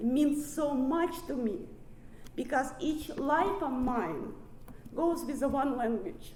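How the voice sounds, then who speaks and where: A woman speaks at a very slow pace in a high pitch with ordinary pitch variation. Audible room echo and noticeable background noise surround her voice. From Ukraine. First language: Russian. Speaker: recovery speaker. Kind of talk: recovery meeting talk. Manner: halting.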